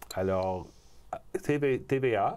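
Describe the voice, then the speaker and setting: A man speaks with an English accent and ordinary pitch variation. The recording is very clean, with a silent background. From Montreal, Quebec. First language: English (speaking French). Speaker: film producer. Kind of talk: interview. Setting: studio.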